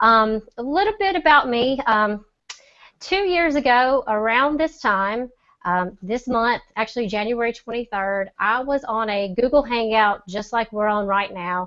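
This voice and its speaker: Speaking with a Southern accent, a woman talks at a fairly slow pace and fairly high pitch with lively intonation. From US South, Mississippi. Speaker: e-commerce seller. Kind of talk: testimony. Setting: video call.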